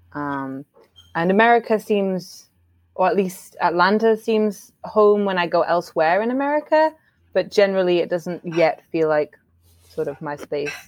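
Lively intonation marks a woman speaking with an English accent. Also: medium pitch for a woman, moderate pace. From England. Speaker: immigrant guest. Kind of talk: casual chat.

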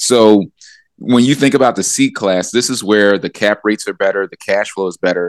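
In a very clean recording with a silent background and a dry, close sound with no echo, a man with an American accent and a plain, everyday voice speaks at a moderate pace, his fairly low pitch showing ordinary variation. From US, Philadelphia. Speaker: real estate mentor and developer. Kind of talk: interview.

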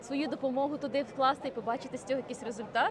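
A woman speaks with a high pitch and fairly even intonation. Crowd noise fills the background. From Ukraine. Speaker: podcast host. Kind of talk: casual chat. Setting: outdoors.

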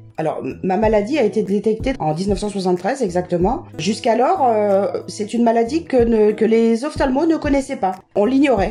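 Amid noticeable background noise, a woman with a fairly high pitch talks at a fairly slow pace. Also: lively intonation. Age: 60s. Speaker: person with a visual impairment. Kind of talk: casual interview. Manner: halting.

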